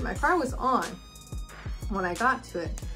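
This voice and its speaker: Clear music in the background behind a woman speaking at a moderate pace. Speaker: vlogger. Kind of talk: casual vlog chat. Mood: amused, incredulous storytelling. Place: home room.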